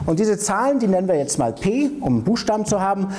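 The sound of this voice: A man's high-pitched voice with big pitch swings and a dark, mellow tone over faint background noise.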